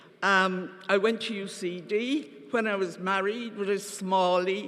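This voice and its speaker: Very slow speech in a Cork accent over noticeable background noise. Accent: Cork Irish. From Ireland, Cork. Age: 70s. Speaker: party member delegate. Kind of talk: conference speech.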